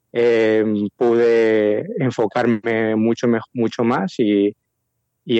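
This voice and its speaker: A man's flat, monotone delivery. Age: 20s. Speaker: prospective missionary. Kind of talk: interview. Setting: phone call.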